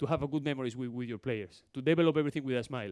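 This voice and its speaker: Spanish-accented speech from a man. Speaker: basketball coach. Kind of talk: coaching clinic talk. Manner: fast.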